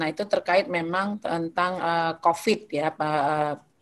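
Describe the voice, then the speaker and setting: Against a quiet background, a woman speaks at a fairly low pitch with fairly even intonation. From North Sumatra. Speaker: legislator. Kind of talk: presentation.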